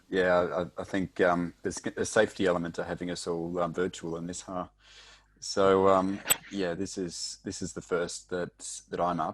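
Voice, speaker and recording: A man with a very deep, low pitch talks at a moderate pace with monotone, flat intonation, in a very clean recording with a silent background. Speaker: technical instructor. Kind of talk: podcast interview.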